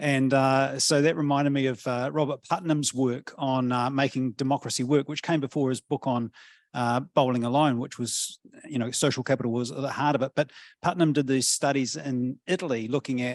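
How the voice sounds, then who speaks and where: Medium-pitched man with a New Zealand accent, monotone and flat, at a fairly quick pace, in a dry, close sound with no echo against a quiet background. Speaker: professor. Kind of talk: panel discussion. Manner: hesitant, many fillers.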